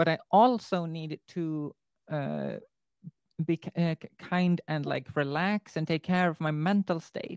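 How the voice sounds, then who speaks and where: Recorded with a dry, close sound and no echo, a woman in a Swedish accent speaks at a very slow pace with a fairly low pitch and fairly even intonation. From Sweden. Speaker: student teacher. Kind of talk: casual interview chat.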